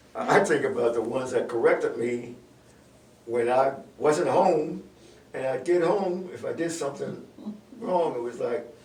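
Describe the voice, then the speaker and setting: The man speaks at a moderate pace. Noticeable background noise and audible room echo fill the recording. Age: 80s+. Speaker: community elder on a church talk show. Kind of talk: casual talk show interview. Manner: halting.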